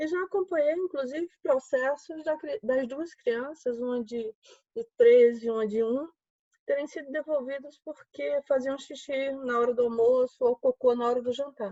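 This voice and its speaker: A woman's high-pitched voice keeps to a moderate pace. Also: ordinary pitch variation. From Alagoas, Brazil. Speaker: judge. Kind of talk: panel discussion. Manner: animated.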